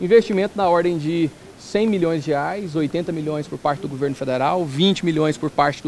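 Light background noise accompanies a high-pitched man speaking at a moderate pace with ordinary pitch variation. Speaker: interviewee. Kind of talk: interview answer. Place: hall. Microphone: handheld.

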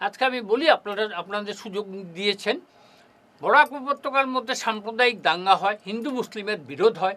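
Raised and projected, this man's voice is extremely high and bright, sharp in tone. His intonation is lively. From Barak Valley, Assam, India. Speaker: student movement founder and lawyer. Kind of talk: studio interview. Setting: studio.

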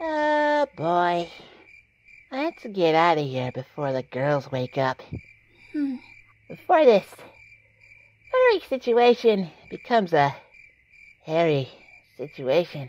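A female-sounding, put-on character voice sits at a middle pitch. It moves at a fairly slow pace, broken by long, frequent pauses. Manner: wisecracking, sarcastic, snappy.

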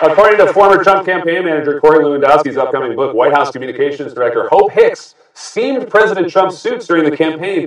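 An American-accented man speaks at a fairly quick pace with lively intonation. The background is quiet, with audible room echo. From United States. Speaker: late-night talk show host. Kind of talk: late-night comedy monologue. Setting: studio with audience. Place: studio.

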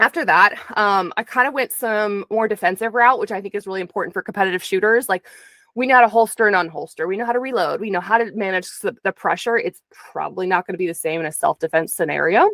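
Over a quiet background with a dry sound and no echo, a woman talks at a very fast pace in a bright, sharp tone with ordinary pitch variation. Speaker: interview guest. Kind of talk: interview answer. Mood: earnest, reflective. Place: home room. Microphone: studio mic.

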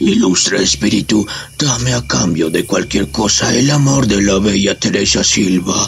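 A man's put-on character voice, fairly low in pitch, with very wide pitch swings, very even loudness and clear music in the background. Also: moderate pace. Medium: audio drama.

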